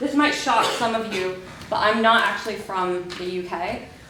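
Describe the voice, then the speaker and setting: Noticeable background noise and audible room echo accompany a woman with an American accent who speaks at a fairly slow pace with ordinary pitch variation. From Mexico, Yucatan. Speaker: PhD researcher. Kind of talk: conference talk. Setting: conference stage with audience.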